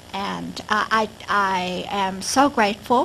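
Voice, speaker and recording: An American accent comes from a woman whose voice carries an audible room echo. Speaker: professor, project director. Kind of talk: conference keynote. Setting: lecture hall with audience. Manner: halting, many fillers.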